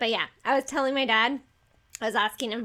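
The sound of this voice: A woman speaks with a North Dakota accent. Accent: North Dakotan.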